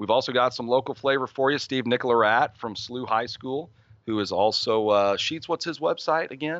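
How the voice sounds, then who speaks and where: With an American accent and a plain, everyday voice, a man talks at a fairly quick pace with ordinary pitch variation. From US Midwest. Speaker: youth baseball advocate. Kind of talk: interview.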